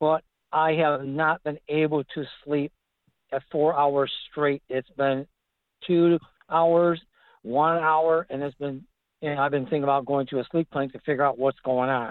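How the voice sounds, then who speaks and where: A man with an American accent speaks at a fairly slow pace. His fairly high voice stays monotone and flat. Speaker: caller. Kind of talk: phone-in question. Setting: phone call.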